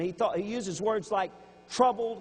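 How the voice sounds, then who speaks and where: In a Louisiana accent, a man talks at a moderate pace. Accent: Louisiana Southern US. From Louisiana, Baton Rouge. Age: 60s. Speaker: preacher. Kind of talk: sermon.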